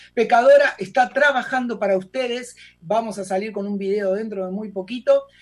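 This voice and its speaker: A high-pitched man's voice at a moderate pace, with an Argentine accent. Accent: Rioplatense Argentine Spanish. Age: 40s. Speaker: actor and singer. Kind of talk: radio interview. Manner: animated.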